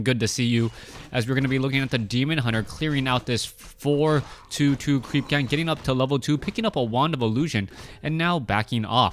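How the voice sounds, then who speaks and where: This man has a medium pitch and ordinary pitch variation. He speaks at a fairly quick pace. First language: Mandarin, then Cantonese. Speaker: esports caster. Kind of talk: live game commentary. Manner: fast, fluent.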